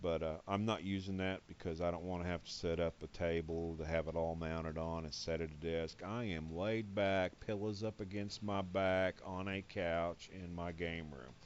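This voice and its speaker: Moving at a moderate pace with hardly any pauses, a man talks in a very deep, low voice with fairly even intonation. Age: 60s. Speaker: gaming youtuber. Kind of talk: game tutorial. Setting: home game room, on couch. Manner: casual, halting.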